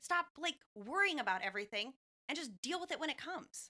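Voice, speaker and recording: Woman's raised, projected voice, high-pitched, bright and sharp, animated, with very wide pitch swings and a dry, close sound with no echo. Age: young. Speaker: marketing and business development for a lender. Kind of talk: casual chat.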